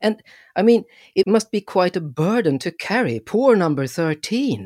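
In a Swedish accent, a man speaks at a fairly slow pace with a high pitch. The sound is dry and close with no echo, a very clean recording with a silent background. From Sweden. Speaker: performance storyteller, podcast host. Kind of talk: podcast introduction.

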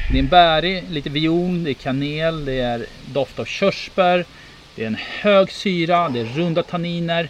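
Noticeable background noise sits behind a man whose pitch is high for a man. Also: ordinary pitch variation, moderate pace. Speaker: podcast host, wine taster. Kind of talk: casual chat.

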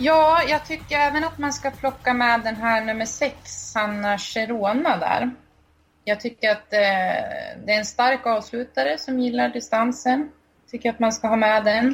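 Here is a woman with an ordinary speaking voice, pitched fairly high. She talks at a fairly slow pace with ordinary pitch variation. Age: 20s. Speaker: harness racing blogger. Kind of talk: casual chat.

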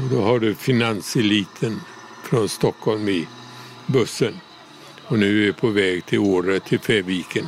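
Loudness stays very even while the voice moves at a fairly slow pace with ordinary pitch variation and long, frequent pauses. Noticeable background noise runs underneath. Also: man, fairly low pitch for a man. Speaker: relative of the subject. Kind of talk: interview.

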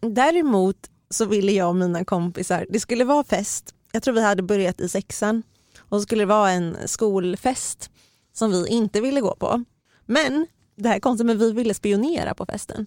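A woman speaks in a normal speaking voice at a moderate pace. Her medium pitch varies in an ordinary way, and the sound is dry and close with no echo. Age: 30s. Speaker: podcast host, magazine journalist. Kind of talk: casual chat.

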